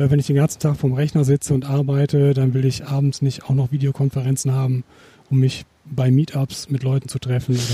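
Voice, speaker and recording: In a dry, close sound with no echo, a man talks fairly quickly at medium pitch with flat, monotone intonation, a somewhat breathy, dark, mellow tone and very even loudness. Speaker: podcast co-host. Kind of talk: casual chat; interview. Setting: outdoors in a garden.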